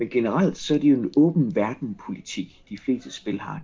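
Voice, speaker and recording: A man speaks at a medium pitch. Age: 40s. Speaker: psychologist. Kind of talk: casual chat.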